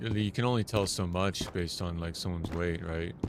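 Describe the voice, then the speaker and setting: With an American accent, a man talks at a fairly quick pace in a normal speaking voice with fairly even intonation. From United States. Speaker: gaming streamer. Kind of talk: casual chat. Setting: live stream.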